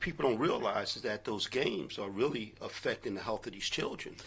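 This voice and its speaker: With a plain, everyday voice, a man speaks at a moderate pace in a medium pitch with ordinary pitch variation. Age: 60s. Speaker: radio co-host. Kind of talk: casual radio talk.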